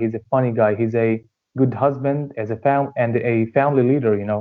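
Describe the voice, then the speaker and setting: A man talks with an Arabic accent at a medium pitch. His pace is fairly quick and his intonation fairly even. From Syria, Hama region. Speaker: dentistry student. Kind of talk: interview. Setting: remote call.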